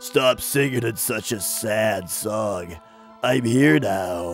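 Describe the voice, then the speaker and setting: Over clear music in the background, a man in a raspy, put-on character voice speaks at medium pitch and a very slow pace. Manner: sad, mournful, then reassuring.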